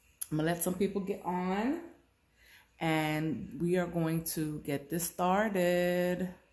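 At a very slow pace, a woman speaks in a monotone, flat way amid audible room echo. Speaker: accessory seller. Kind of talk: casual live stream chat. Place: home room. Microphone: phone near.

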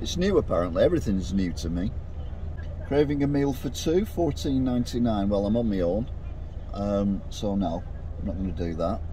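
Against light background noise in a dry, echo-free recording, a man talks fairly quickly in a fairly low pitch with lively intonation. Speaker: food reviewer vlogger. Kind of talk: casual vlog chat. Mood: chatty, mildly excited. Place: car. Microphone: phone near.

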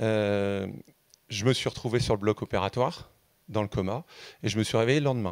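A man's fairly low voice with ordinary pitch variation, dry with no echo, over a quiet background. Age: 50s. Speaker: audience member. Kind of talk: audience question. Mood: earnest, reflective. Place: hall. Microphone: handheld.

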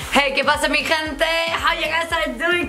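A woman's raised, projected voice over clear music in the background. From Spain. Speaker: magician. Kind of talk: casual ASMR talk to camera. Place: home room.

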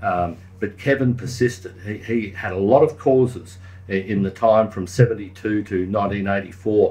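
This man talks at a fairly slow pace with a fairly low pitch. His voice is somewhat breathy, with a dark, mellow tone. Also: ordinary pitch variation. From Queensland, Australia. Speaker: local councillor and crime historian; local councillor. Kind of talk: casual chat. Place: studio.

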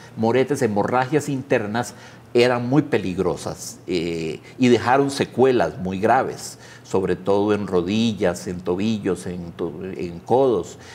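In a Costa Rican accent, a man speaks at a very slow pace with a fairly low pitch. His intonation is lively. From Costa Rica, San José area. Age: 50s. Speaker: pianist and writer; interviewee. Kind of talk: interview. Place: studio. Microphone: lapel.

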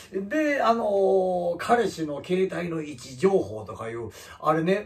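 A man speaks with a high pitch. His voice swings very widely in pitch. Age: 50s. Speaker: comedian. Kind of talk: casual vlog talk. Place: home room. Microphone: camera far.

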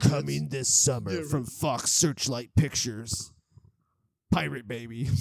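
A man at a fairly slow pace and medium pitch. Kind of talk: movie trailer voice-over. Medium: comedy sketch.

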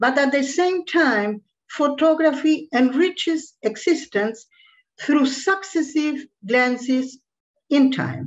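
Over a quiet background, a woman speaks very slowly in a high voice with ordinary pitch variation. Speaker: academic commentator. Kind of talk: read academic commentary. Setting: video call. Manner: formal. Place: home room. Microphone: webcam.

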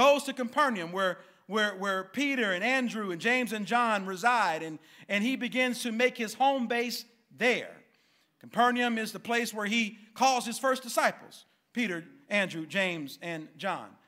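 A man's raised, projected voice with a bright, sharp tone, moderate pace and ordinary pitch variation against a quiet background. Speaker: pastor. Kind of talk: sermon. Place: church. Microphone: podium.

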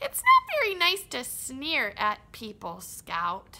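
In a cartoonish character voice, a woman projects a raised, high-pitched voice at a fairly slow pace. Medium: puppet. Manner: excitable, goofy.

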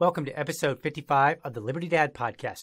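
A male speaker keeps a moderate pace, with a quiet background behind him. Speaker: podcast host. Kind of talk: podcast monologue.

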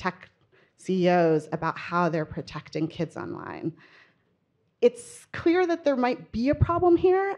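Heard against a quiet background, a woman has a plain, everyday voice. Her pitch moves in an ordinary way. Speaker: panel moderator, reporter. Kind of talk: panel introduction. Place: hall. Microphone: handheld.

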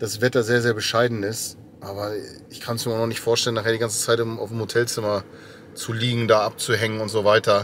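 Over light background noise, a man talks at a fairly quick pace with monotone, flat intonation in a dry sound with no echo. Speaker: speaker, podcaster on tour. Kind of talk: casual vlog chat. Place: car. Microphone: phone near.

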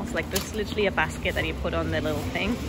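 A woman at a very fast pace, the sound dry with no echo, loud background noise behind her. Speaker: vlogger. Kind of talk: casual vlog chat. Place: shop. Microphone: phone near.

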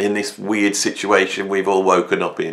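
This man speaks at a fairly slow pace. His delivery is unhurried. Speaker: educator. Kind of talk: casual vlog chat. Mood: somber, reflective tribute. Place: home room. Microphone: phone near.

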